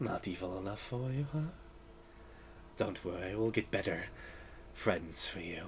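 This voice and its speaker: A man's put-on character voice, fairly low in pitch, at a moderate pace with long, frequent pauses and clear background noise. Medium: actual play. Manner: cold, imperious.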